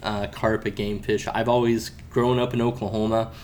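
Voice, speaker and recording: A man with an American accent talks at a moderate pace in an ordinary speaking voice. His intonation stays fairly even. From Florida. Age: 30s. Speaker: kayak and paddle sports sales rep. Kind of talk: casual interview chat. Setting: trade event.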